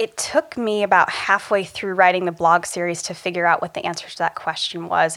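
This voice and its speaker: A woman with an American accent at a fairly quick pace, amid noticeable background noise. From small-town rural Ohio, US Midwest. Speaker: executive coach. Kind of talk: interview conversation.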